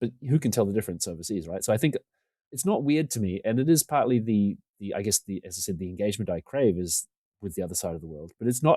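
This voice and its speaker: Very fast and with lively intonation, a man with a New Zealand accent speaks at a fairly low pitch in a dark, mellow tone, the sound dry and close with no echo on a very clean recording with a silent background. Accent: New Zealand accent, close to Australian. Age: 40s. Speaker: podcaster and video creator. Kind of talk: casual podcast interview chat.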